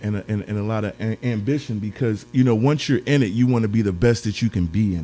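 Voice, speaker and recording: A man's fairly low voice at a very fast pace, ordinary pitch variation, hardly any pauses, and music in the background. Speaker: podcast host. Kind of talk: interview. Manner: hesitant, many fillers; expressive.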